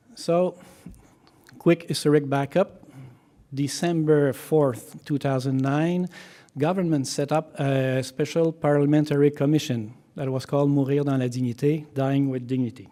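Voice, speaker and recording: Amid noticeable background noise, a man with a French accent speaks at a moderate pace with fairly high pitch and fairly even intonation. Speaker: physician. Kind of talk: conference talk. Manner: halting, many fillers.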